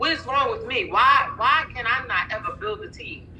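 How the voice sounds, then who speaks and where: A woman speaks at a fairly quick pace. Audible room echo and noticeable background noise surround her. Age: 50s. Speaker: nurse and minister, sales distributor. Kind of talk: testimony. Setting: online live call. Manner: animated.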